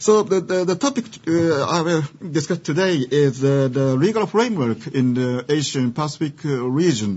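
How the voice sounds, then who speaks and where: Music plays behind a man with a Japanese accent and a fairly high voice. He talks at a moderate pace with lively intonation. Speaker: law professor. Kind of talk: lecture. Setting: seminar with audience. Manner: loud; halting.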